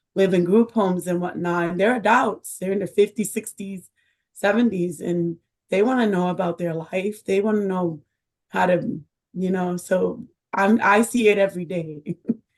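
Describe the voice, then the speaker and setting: This woman's voice sits at medium pitch with fairly even intonation. She talks at a moderate pace. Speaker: person with lived experience of state care. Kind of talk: public testimony at commission meeting. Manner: quiet, soft-spoken; halting, many fillers.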